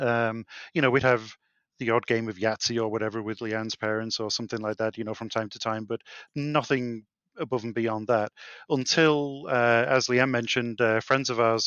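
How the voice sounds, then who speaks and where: Someone with a British accent speaks at a moderate pace. The intonation is fairly even. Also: man, medium pitch for a man. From UK. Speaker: insolvency trustee, board gamer. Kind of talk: casual chat.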